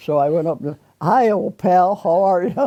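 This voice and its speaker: A woman with a Midwestern American accent, lively intonation and a fairly slow pace. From Rockford area, Michigan. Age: 80s+. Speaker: retired restaurant cook. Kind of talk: oral history interview answer.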